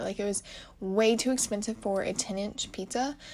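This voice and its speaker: At a moderate pace, a woman talks at a medium pitch. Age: young. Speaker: podcast host, college student. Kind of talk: casual solo podcast chat. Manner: quieter than usual; rambling, filler-heavy.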